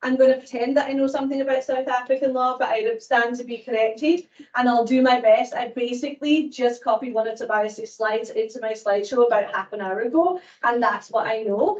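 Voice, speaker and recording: In a Scottish accent, a woman talks fairly quickly at a high pitch with ordinary pitch variation. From Scotland. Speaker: law professor. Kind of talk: lecture. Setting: lecture hall with audience.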